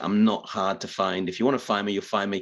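A fairly low-pitched man with a Teesside accent, over a quiet background. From northeast England (Middlesbrough). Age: 50s. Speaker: professional speaker and author. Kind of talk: interview conversation. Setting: video call.

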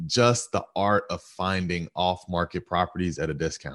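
A man with an American accent and a very deep, low pitch, speaking at a fairly slow pace in a dry, close sound with no echo over a quiet background. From Georgia, US South (Stone Mountain). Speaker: real estate investor. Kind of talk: interview.

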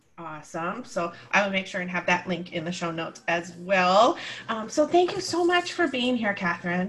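A woman speaks at a moderate pace and medium pitch with ordinary pitch variation, and noticeable background noise can be heard. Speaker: podcast host and empowerment coach. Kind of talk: casual interview chat. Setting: video call recording. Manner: animated, laughs often.

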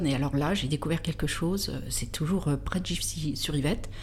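A woman with a very deep, low pitch speaks at a moderate pace, with audible room echo. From France, Versailles. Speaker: car designer. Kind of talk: interview. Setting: studio.

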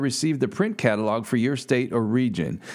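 Talking at a fairly quick pace, a man uses an ordinary speaking voice with lively intonation. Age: 40s. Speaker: agriculture podcast host. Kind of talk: scripted narration; interview.

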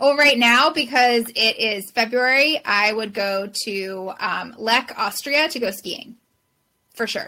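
This woman has a fairly high pitch and a bright, sharp tone, with a Californian accent. She talks at a very slow pace. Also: ordinary pitch variation. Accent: Californian American. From Southern California. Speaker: professional organizer. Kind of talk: interview.

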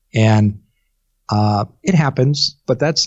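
Somewhat breathy and very slow, a man with a fairly low pitch speaks with lively intonation. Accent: Midwestern American. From US Midwest, eastern Iowa. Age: 50s. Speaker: public relations specialist. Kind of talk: interview.

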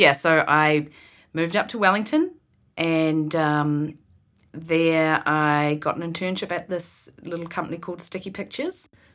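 A woman with a New Zealand accent speaks at a moderate pace in a fairly low pitch with fairly even intonation. The recording is very clean with a silent background. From New Zealand, rural Marlborough. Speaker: film producer. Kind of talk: casual interview.

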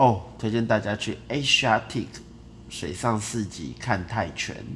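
Speaking at a fairly slow pace, a man uses a fairly low pitch with vocal fry and ordinary pitch variation. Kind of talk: casual chat. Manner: rambling, disorganized.

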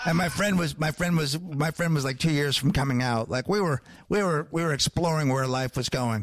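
A man speaks in a plain, everyday voice at a fairly high pitch, fairly quick and with hardly any pauses. His loudness is very even, his pitch variation ordinary, and the sound is dry and close with no echo. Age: 40s. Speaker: comedian and podcaster. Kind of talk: casual chat.

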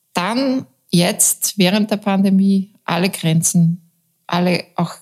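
A woman's somewhat breathy voice. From Upper Austria, Mühlviertel near Bavarian and Czech border. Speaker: journalist, newspaper deputy editor-in-chief. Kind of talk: interview.

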